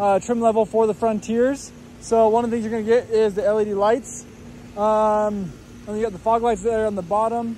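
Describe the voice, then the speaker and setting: A man with a high pitch speaks at a moderate pace in a flat monotone. The sound is dry with no echo, over light background noise. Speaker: car salesperson. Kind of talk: casual product walk around commentary. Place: street. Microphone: phone near.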